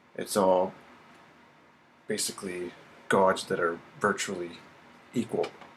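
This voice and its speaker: Long, frequent pauses break up this man's speech. His pace is fairly slow. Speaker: religious video commentator. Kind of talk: religious teaching monologue.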